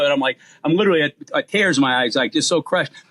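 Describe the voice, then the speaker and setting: Delivered at a very fast pace in a Boston accent, the voice has ordinary pitch variation and a dry, close sound with no echo. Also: man. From Boston, US. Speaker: comedian. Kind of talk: casual chat.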